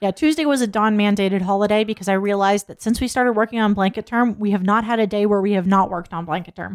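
Very fast and with hardly any pauses, a woman at medium pitch speaks with ordinary pitch variation, her sound dry and close with no echo on a very clean recording with a silent background. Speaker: podcast co-host. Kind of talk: casual chat. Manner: casual, profane.

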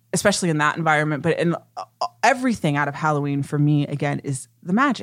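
Someone with an American accent talks at a very fast pace in an animated tone. Music plays in the background. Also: woman. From US Midwest, Ohio. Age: 30s. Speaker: podcast host. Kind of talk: casual chat.

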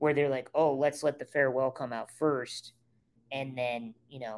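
This is a man with an ordinary speaking voice and an American accent. His pitch is fairly high and his pace moderate. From rural Nebraska. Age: 30s. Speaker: comedian and screenwriter. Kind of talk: casual chat.

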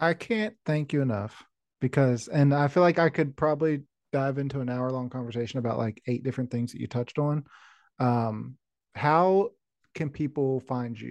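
Against a quiet background, a man speaks in a plain, everyday voice at a medium pitch and moderate pace, with ordinary pitch variation and a dry, close sound with no echo. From West Virginia. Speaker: podcast host, plumbing business owner. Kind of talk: interview.

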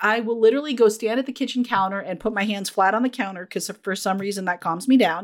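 A woman rattles along at a very fast pace with lively intonation and a fairly high pitch, on a very clean recording with a silent background. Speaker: psychologist and author. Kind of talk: casual interview chat. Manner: sweary, sarcastic, animated.

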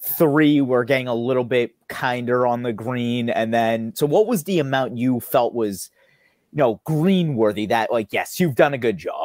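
A man with an American accent talks at a moderate pace with ordinary pitch variation, a plain, everyday voice. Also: medium pitch for a man. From United States. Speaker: test prep webinar host. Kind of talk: audience Q&A; interview. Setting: video call.

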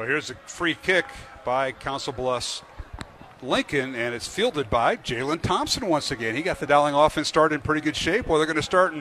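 Noticeable background noise sits behind a man whose fairly high voice carries lively intonation. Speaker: radio play-by-play announcer. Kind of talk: live sports commentary. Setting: stadium broadcast. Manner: rapid play-by-play delivery, rising and excited on touchdowns; fluent, upbeat, with frequent 'uh' fillers.

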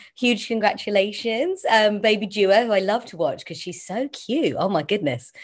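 An unremarkable speaking voice moves at a moderate pace with lively intonation, big swings in loudness and hardly any pauses. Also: woman, fairly high pitch for a woman. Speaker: interviewer.

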